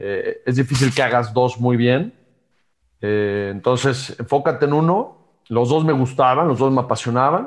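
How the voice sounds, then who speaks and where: A man's medium-pitched voice at a fairly slow pace, very even in loudness, with ordinary pitch variation, on a very clean recording with a silent background. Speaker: former amateur golfer and entrepreneur. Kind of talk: interview. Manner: halting, many fillers and repetitions.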